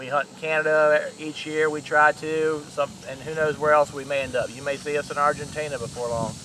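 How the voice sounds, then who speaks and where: With noticeable background noise behind him, this man speaks fairly quickly at a fairly high pitch. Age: 40s. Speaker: hunting video host. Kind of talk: casual video introduction.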